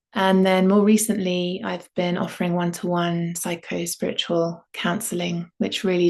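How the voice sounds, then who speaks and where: A woman speaks in a southern English accent with a calm tone. Her intonation is monotone and flat, at a fairly slow pace. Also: quiet background. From London, England. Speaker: yoga and voice teacher. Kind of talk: online workshop introduction. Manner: calm, unhurried with fillers.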